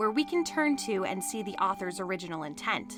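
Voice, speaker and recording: Music sits in the background while a woman talks at a moderate pace with very wide pitch swings. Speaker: voiceover narrator. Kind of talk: documentary narration.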